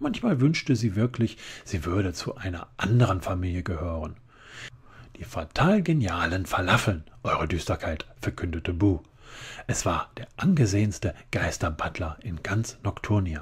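Somewhat breathy and gentle in tone, a man with a very deep, low pitch speaks with lively intonation in a very clean recording with a silent background. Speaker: ASMR reader. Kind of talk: bedtime story reading aloud, ASMR. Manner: soft, slow, gentle whisper-like narration.

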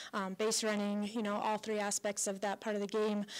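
A woman speaks at a fairly quick pace. She has an American accent. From Colorado. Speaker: college softball head coach. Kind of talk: radio interview. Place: hall. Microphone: handheld.

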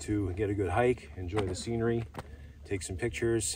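In a dry recording with no echo and light background noise, a man speaks at a moderate pace and fairly low pitch, somewhat breathy, with ordinary pitch variation. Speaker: hiker vlogger. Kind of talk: casual vlog chat. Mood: relaxed, reflective. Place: open country. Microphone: camera far.

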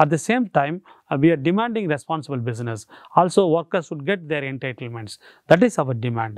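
Here a man talks at a fairly quick pace and a fairly high pitch, with very wide pitch swings. There is a dry sound with no echo. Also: quiet background. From Tamil Nadu, South India. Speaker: human rights activist. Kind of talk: interview monologue; interview answer. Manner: halting, many fillers and repetitions. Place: studio.

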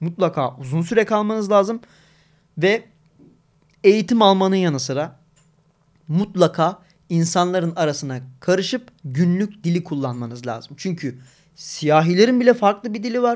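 A high-pitched male voice with lively intonation, a moderate pace and long, frequent pauses, against a quiet background. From Turkey. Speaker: gaming streamer. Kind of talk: casual live stream chat. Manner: talkative, frequent laughter. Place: home room. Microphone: studio mic.

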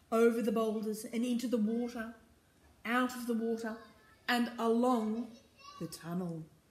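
The reading voice here sounds unforced.

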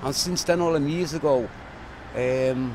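Over noticeable background noise, a man with a Liverpool accent speaks at a moderate pace with ordinary pitch variation. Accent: Liverpool (Scouse). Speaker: local resident. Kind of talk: street interview. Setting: outdoors.

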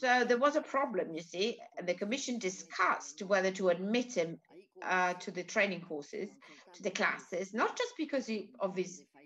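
With an Italian accent, a woman talks at a moderate pace with very wide pitch swings over light background noise. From Italy. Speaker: cultural institute host presenting a film event. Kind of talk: event presentation and commentary. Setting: online video call event. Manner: halting. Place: home room. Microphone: video call.

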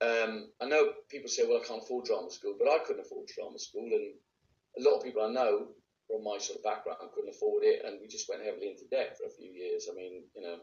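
Talking at a very fast pace, a man speaks with a Welsh accent and big swings in loudness. Audible room echo surrounds the recording. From Wales, Bridgend; Wales. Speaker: actor; actor being interviewed. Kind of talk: interview; interview answer. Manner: casual, with hesitations. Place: home room. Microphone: phone near.

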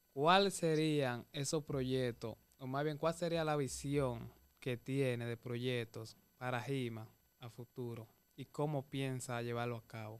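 Speaking at a very slow pace, a man with a Dominican accent and medium pitch makes big swings in loudness. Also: ordinary pitch variation. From Dominican Republic. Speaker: interviewer. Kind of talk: interview. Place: studio. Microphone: studio mic.

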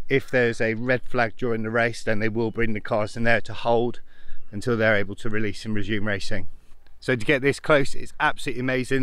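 In a quiet background with a dry, echo-free sound, a man talks at a fairly quick pace with fairly even intonation. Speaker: amateur racing driver vlogger. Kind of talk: casual vlog commentary, guided tour. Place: open country. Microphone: phone near.

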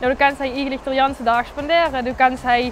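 Over background music, a woman with a high pitch speaks with fairly even intonation in a dry sound with no echo. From Kerkrade, Netherlands. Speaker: TikTok creator; stadium steward. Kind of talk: casual talk to camera. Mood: cheerful, relaxed. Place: street. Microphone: lapel.

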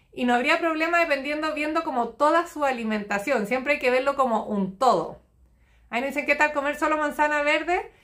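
In a Chilean accent, a woman speaks at a fairly quick pace with a high pitch and a bright, sharp tone. Her intonation is lively, and the background is quiet. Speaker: nutritionist. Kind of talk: live stream Q&A. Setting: live stream. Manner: fast. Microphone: phone near.

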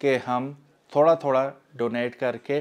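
A man speaks at a fairly slow pace with monotone, flat intonation. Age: 40s. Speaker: YouTuber. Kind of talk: appeal for charity donations. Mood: earnest, persuasive.

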